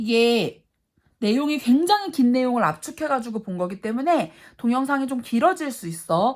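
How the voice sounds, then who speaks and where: The woman talks at a moderate pace. Her high voice swings very widely in pitch. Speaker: math teacher. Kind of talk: lecture.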